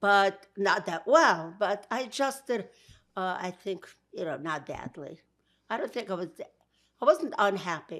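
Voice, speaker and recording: With a Brooklyn accent, a woman speaks at a fairly slow pace, her pitch swinging very widely between long, frequent pauses. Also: medium pitch for a woman, very clean recording, silent background. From Georgia, then Brooklyn. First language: Yiddish. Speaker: interviewee. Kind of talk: interview.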